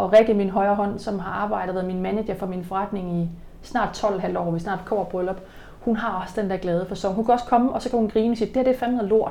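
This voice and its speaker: A woman has an unremarkable speaking voice at a medium pitch. She talks at a fairly quick pace with fairly even intonation. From Jutland, Denmark. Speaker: personal trainer and business owner. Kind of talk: interview. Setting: at her bakery and fitness business.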